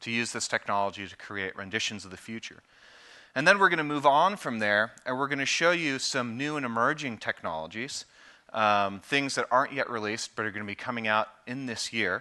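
A man speaks at a fairly quick pace with lively intonation and big swings in loudness. His tone is bright and sharp against a quiet background. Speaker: presenter. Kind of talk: conference presentation. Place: stage. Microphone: headset.

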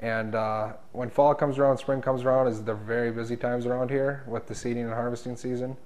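With an Upper Midwest accent, a man talks very fast at a medium pitch. His intonation is monotone and flat. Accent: Upper Midwest American. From North Dakota, rural. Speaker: diesel mechanic. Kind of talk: interview answers; interview answer. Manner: halting, filler-heavy. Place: meeting room. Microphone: lapel.

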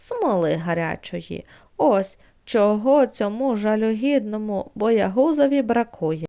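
In a put-on character voice that sounds female, the speaker talks at a fairly slow pace, gruff and rumbling yet fairly high-pitched for a woman, on a very clean recording with a silent background. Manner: grumbling, gruff.

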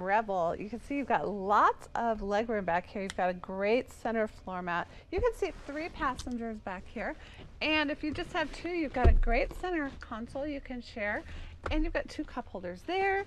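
A woman speaks at a moderate pace in a high pitch with very wide pitch swings. Noticeable background noise can be heard. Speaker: car dealership salesperson. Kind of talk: product walkaround commentary. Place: car. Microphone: phone near.

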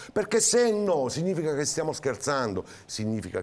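Speaking at a very fast pace, this man's voice is quick. His pitch swings very widely. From southern Italy. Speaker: mayoral candidate; candidate. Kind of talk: TV interview. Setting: TV studio. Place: studio. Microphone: lapel.

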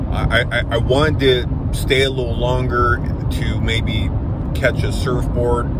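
A man at a fairly slow pace, dry sound with no echo, loud background noise behind him. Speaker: road trip vlogger. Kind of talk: casual vlog chat. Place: car. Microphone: phone near.

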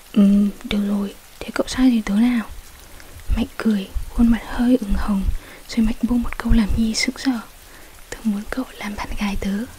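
Soft-spoken and monotone, a woman talks with long, frequent pauses over light background noise. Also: fairly slow pace. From Vietnam. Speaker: ASMR story reader. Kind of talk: ASMR bedtime story reading. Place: home room. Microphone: studio mic.

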